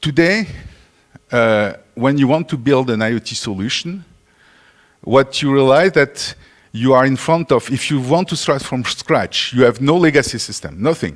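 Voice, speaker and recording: This man speaks at a moderate pace in a French accent. His pitch sits in the medium range. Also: lively intonation. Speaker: conference speaker. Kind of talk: conference talk.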